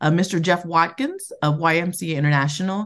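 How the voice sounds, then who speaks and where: Against a quiet background, a woman with an ordinary speaking voice and fairly low pitch talks at a moderate pace. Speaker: community organization president. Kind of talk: podcast interview.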